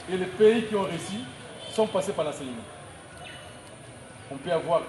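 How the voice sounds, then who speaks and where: With lively intonation and a high pitch, the man talks at a moderate pace as noticeable background noise runs underneath. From DR Congo, Kisangani. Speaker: school founder. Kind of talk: inaugural speech. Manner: halting.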